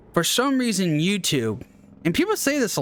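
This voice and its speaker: With lively intonation, a man talks while music plays in the background. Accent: American. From United States. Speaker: gaming YouTuber. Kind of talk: casual gameplay commentary. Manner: halting, with stammers and restarts.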